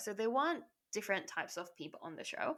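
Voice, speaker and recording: A woman speaks in a medium-pitched voice. Her tone is bright and sharp. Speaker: reality TV contestant. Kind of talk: casual interview chat. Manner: loud; animated.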